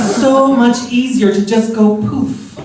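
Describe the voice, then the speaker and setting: A playful tone amid noticeable background noise. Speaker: drag performer. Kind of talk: live spoken word storytelling. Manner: campy, playful, witty.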